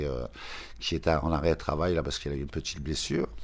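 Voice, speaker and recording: A man's very deep, low voice with vocal fry. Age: 70s. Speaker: shoemaker. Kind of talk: interview testimony. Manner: halting, many repetitions.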